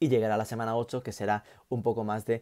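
A man talks at a fairly quick pace with a fairly low pitch and a dark, mellow tone. His intonation is fairly even, and the background is quiet. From Spain, Galicia. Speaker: university lecturer. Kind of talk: lecture. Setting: home office. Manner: casual. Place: home room. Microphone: earbuds.

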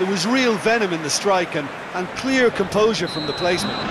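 Through noticeable background noise, a high-pitched man talks at a fairly quick pace with ordinary pitch variation. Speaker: football co-commentator. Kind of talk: live football commentary. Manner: measured, analytical, conversational.

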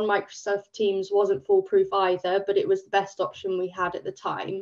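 Against a quiet background, a woman with an English accent speaks at a fairly slow pace. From England. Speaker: volunteer project manager. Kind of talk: webinar presentation. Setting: video call. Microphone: video call.

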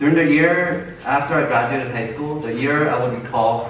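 There is audible room echo and light background noise. A man speaks at a fairly quick pace. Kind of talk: testimony speech. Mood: earnest, nervous laughs. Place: church. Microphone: camera far.

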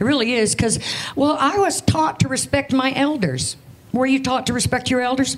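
The speaker is a woman with an American accent. Her pitch is high. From Europe then US. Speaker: stand-up comedian. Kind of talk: stand-up comedy set, self-deprecating jokes about being an old grandmother. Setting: stage with audience. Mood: dry, wry humor. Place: stage. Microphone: handheld.

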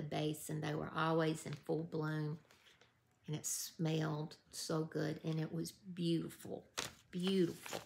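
In a Southern US accent, a woman speaks at a very slow pace with a warm tone and a very deep, low pitch. Her intonation is flat and monotone. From US South. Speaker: YouTube creator running a giveaway. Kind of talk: casual vlog giveaway announcement. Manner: warm, emotional. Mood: warm, nostalgic. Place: home room. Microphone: phone near.

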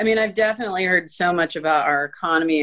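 Against a quiet background, a woman with an American accent talks at a fairly quick pace. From Florida, US. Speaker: advocate for abuse survivors; interview guest. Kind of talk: interview. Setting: video call. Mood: earnest, warm. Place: home room. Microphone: video call.

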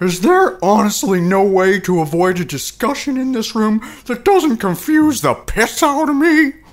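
His pitch swings very widely. The man speaks in a high voice. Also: moderate pace. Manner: bossy, aggressive.

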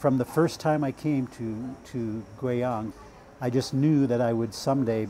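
Over light background noise, a man with an American accent speaks very slowly in a medium pitch with fairly even intonation. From United States. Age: 50s. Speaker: language student and English tutor. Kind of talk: documentary interview. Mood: calm, content. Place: home room. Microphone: lapel.

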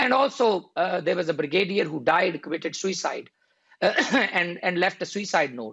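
Over a quiet background, a man with a high pitch and a bright, sharp tone speaks at a moderate pace with lively intonation. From northern England, Rochdale; northern England. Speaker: lawyer and party official; lawyer. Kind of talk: political debate. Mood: earnest political argument. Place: office. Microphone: video call.

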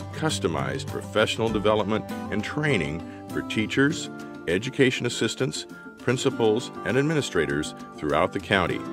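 A man's fairly low voice at a fairly quick pace, with music in the background. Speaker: voice actor. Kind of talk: corporate narration.

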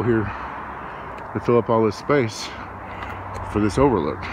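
The pitch varies in an ordinary way, and the sound is dry with no echo. Noticeable background noise runs underneath. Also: man. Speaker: travel vlogger. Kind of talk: casual vlog chat. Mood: relaxed, mildly unimpressed. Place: open country. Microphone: phone near.

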